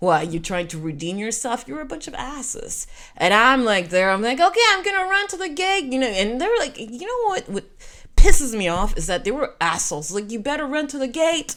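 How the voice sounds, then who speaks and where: A woman with a French Canadian accent speaks quickly in a high, bright, sharp voice. Her animated tone carries very wide pitch swings. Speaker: storyteller, podcaster. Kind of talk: personal storytelling.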